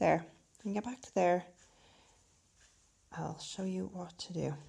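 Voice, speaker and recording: A woman with an Irish accent at a moderate pace. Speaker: crochet instructor. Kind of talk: craft tutorial to camera.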